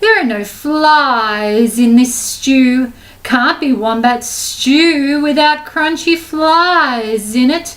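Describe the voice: Using a put-on character voice, a woman speaks at a very slow pace in a high pitch with a hissing sound and hardly any pauses.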